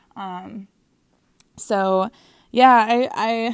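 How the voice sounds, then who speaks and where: A woman talks with an American accent and a fairly high pitch. Her intonation is fairly even. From Minnesota, US Midwest. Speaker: podcast host. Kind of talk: casual solo monologue. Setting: lying in bed at home. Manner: rambling, many fillers and restarts.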